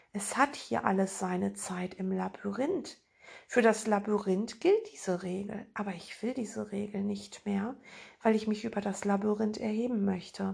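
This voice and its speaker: A woman speaks at a fairly slow pace in a medium pitch, somewhat breathy and with fairly even intonation, over a quiet background. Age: 50s. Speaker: spiritual podcast host and author. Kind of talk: spiritual monologue.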